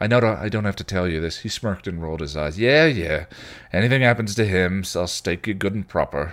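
A passage is being read aloud in a natural voice.

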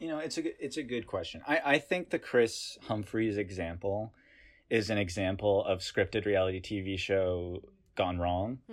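With an American accent, a man speaks in a normal speaking voice at a moderate pace, fairly low in pitch, with lively intonation. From US South, North Carolina. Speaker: podcast guest, essay author. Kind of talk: casual chat. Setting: video call.

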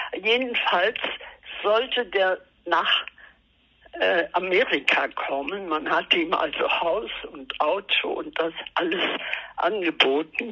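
A woman speaks at a very slow pace with lively intonation and long, frequent pauses, over noticeable background noise. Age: 80s+. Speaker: artist. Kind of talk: interview. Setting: phone call. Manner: halting. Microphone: telephone line, lower sound quality.

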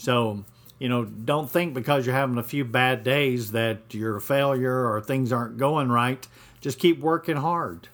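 Very clean and silent in the background, the recording carries a speaker with an American accent and ordinary pitch variation. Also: man, medium pitch for a man, fairly slow pace. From US South, Atlanta, Georgia. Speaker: fishing charter captain. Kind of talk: podcast monologue. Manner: hesitant, many fillers.

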